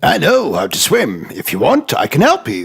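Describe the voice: A man does a cartoonish character voice at a fairly high pitch, with a husky, rough edge, vocal fry, very wide pitch swings and a moderate pace.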